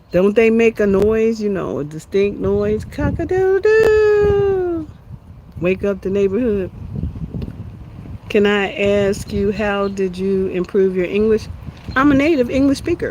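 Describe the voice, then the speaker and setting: Noticeable background noise accompanies a woman. She speaks fairly slowly with an American accent. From USA. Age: 60s. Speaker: homesteading and wellbeing livestreamer. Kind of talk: casual livestream chat. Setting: outdoors in backyard.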